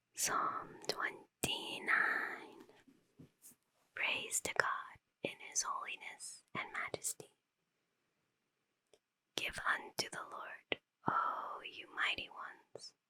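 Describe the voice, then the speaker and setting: Whispering calmly at a very slow pace, a woman leaves long, frequent pauses in a dry, close sound with no echo. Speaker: ASMR creator, Bible reader. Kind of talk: whispered Bible reading. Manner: whispered, soft, calm.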